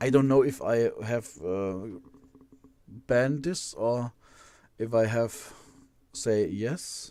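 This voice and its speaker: With a German accent, the voice moves at a very slow pace in a dark, mellow tone with ordinary pitch variation. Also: man. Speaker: live streamer building Lego models. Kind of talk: casual live stream chat. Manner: halting, many repetitions.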